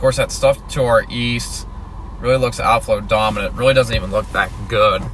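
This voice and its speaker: A relaxed tone at a moderate pace, with noticeable background noise. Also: man. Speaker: storm chaser livestreamer. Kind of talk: live stream commentary. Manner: quiet; casual, relaxed.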